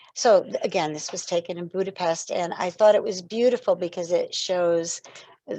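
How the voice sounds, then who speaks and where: A woman's medium-pitched voice, dark and mellow in tone, at a moderate pace. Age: 60s. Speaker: speaker on positive psychology and spirituality. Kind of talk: lecture.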